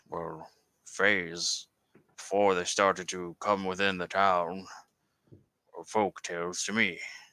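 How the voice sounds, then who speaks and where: With very deep, low pitch and monotone, flat intonation, a man talks at a fairly slow pace, leaving long, frequent pauses and swinging widely in loudness. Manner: wary, formal, old-fashioned.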